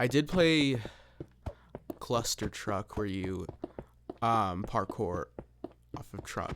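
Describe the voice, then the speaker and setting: Quiet and at medium pitch, a man speaks with lively intonation. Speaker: gaming YouTuber. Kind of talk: casual gameplay commentary. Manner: halting. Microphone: close to the microphone.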